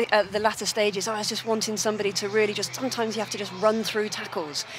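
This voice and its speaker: Very fast speech from a woman in a fairly high register, against noticeable background noise. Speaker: former international hockey player, TV pundit. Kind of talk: TV sport analysis.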